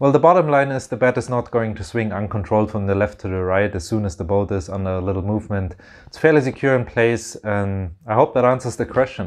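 Against a quiet background, a man with a fairly low pitch speaks at a very fast pace with hardly any pauses and ordinary pitch variation. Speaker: DIY builder vlogger. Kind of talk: casual vlog chat. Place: boat. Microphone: camera far.

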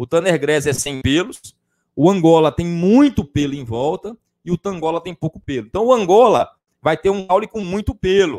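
A man with a high pitch talks at a moderate pace with lively intonation. The sound is dry and close, with no echo. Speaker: livestock science teacher. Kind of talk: live-stream lecture. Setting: improvised home studio. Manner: conversational, frequent 'tá?' fillers.

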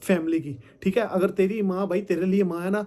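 This man's voice sits at a high pitch. His tone is dark and mellow, and his intonation fairly even. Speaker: content creator replying to a rival. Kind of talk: casual vlog chat. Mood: firm, explaining, calm. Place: home room. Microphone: phone near.

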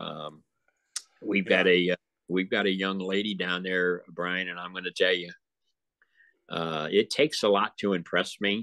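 A very deep, low-pitched man with an American accent and a bright, sharp tone, fairly even intonation and long, frequent pauses, in a dry sound with no echo. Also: moderate pace, quiet background. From Illinois. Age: 70s. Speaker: wrestling promoter; guest. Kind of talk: casual chat. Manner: halting. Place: home room. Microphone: video call.

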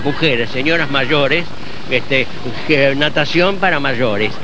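A man's voice with ordinary pitch variation comes through dry with no echo, over noticeable background noise. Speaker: swimmer. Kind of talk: interview answer. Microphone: handheld.

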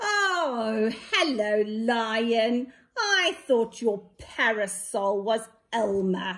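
A female-sounding, put-on character voice sits fairly high in pitch. The delivery is very slow. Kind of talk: nursery story reading. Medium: read story. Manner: bright, friendly. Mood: cheerful surprise.

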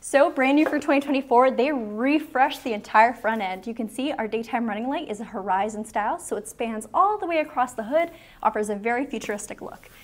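A woman talks at a fairly quick pace, her loudness swinging widely. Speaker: presenter. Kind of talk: product review walkaround. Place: shop. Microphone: lapel.

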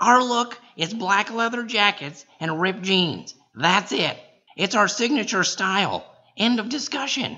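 Pitch moves in an ordinary way. The voice is raised and projected. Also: man, high pitch for a man, moderate pace. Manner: exasperated, bossy, shouting.

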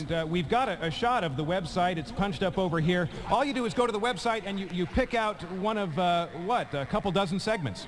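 Talking at a moderate pace with hardly any pauses, a man with a high voice shows ordinary pitch variation against noticeable background noise. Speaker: TV field reporter. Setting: live on location.

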